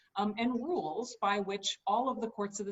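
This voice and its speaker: Normal pitch movement runs through a voice with some breathiness. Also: woman. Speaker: state supreme court justice. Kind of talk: campaign speech. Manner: fast.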